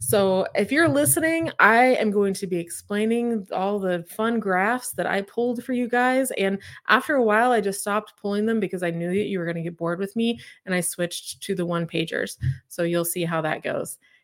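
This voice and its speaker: On a very clean recording with a silent background, a woman with an ordinary speaking voice and an American accent talks at a moderate pace and medium pitch with lively intonation. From Oklahoma, Claremore near Tulsa. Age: 30s. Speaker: real estate agent. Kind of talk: live stream talk. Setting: live YouTube stream. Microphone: close, good mic.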